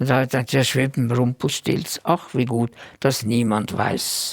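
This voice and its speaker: Recorded dry and close with no echo, a man speaks fairly slowly with vocal fry. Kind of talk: interview answer.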